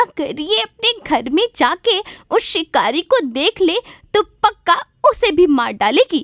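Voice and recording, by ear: This cartoonish character voice sits at extremely high pitch. It moves in very wide pitch swings. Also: fairly slow pace.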